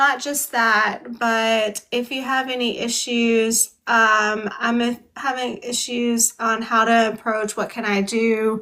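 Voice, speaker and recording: A woman speaks very slowly in a fairly high voice with a bright, sharp tone. Her intonation is monotone and flat. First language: American Sign Language. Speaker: book club host. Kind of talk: casual live-stream chat.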